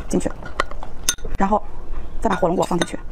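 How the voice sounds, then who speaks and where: Noticeable background noise runs under the recording. A woman speaks with ordinary pitch variation. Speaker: food vlogger. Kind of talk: casual eating vlog and tutorial. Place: home room. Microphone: lapel.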